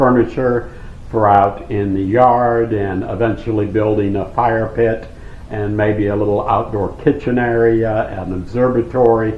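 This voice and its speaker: A man speaks at a fairly slow pace in a flat, monotone way. Audible room echo hangs on his voice. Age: 60s. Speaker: off-grid vlogger. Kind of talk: casual vlog Q and A.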